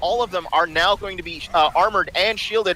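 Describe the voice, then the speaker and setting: A man's raised, projected voice, high in pitch, against noticeable background noise. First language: not English. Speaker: esports caster. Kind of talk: live commentary. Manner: animated.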